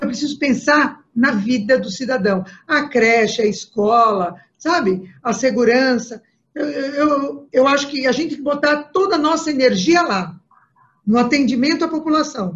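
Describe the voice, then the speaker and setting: Woman's high-pitched voice with lively intonation at a fairly slow pace. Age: 60s. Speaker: political candidate. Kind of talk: interview. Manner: halting, many fillers.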